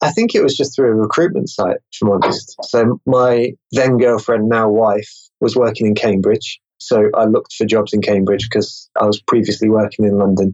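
Speaking with an English accent at medium pitch, a man keeps a moderate pace, fairly even intonation, and very even loudness. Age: 20s. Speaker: marketer and meetup organizer. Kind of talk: interview.

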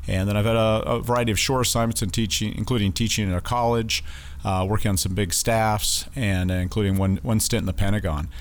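Over audible room echo, a man talks very fast at a fairly low pitch, with ordinary pitch variation and very even loudness. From Wyoming (Casper). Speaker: naval base commanding officer. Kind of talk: interview. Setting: studio.

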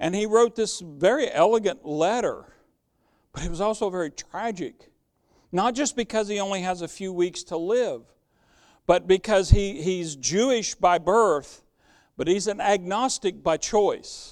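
A man's high-pitched voice with ordinary pitch variation at a fairly slow pace, on a very clean recording with a silent background. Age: 60s. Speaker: pastor. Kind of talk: sermon. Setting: church.

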